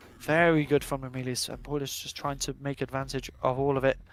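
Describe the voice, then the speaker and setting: Music plays in the background as a man talks at a fairly high pitch. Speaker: sim racing commentator. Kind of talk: live commentary. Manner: fast; animated.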